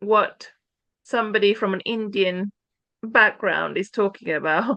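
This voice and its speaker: A woman with an English accent talks at a fairly slow pace. Her tone is bright and sharp, with a fairly high pitch. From England. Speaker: church pioneer. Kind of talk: conversation. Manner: halting.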